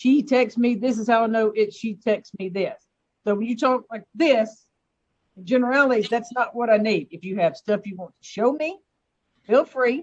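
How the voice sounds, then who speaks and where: The speaker has an American accent and ordinary pitch variation. Their loudness swings widely. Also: woman, fairly high pitch for a woman, moderate pace. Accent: Southern US accent, says she doesn't hear it. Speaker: judge. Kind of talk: court hearing. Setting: video call.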